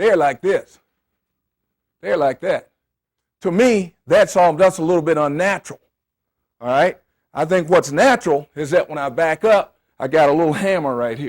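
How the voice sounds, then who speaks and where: A high-pitched man with lively intonation at a moderate pace and with long, frequent pauses, in a dry, close sound with no echo on a very clean recording with a silent background. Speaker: football coach. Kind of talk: coaching clinic lecture. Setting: clinic with audience of coaches. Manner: animated.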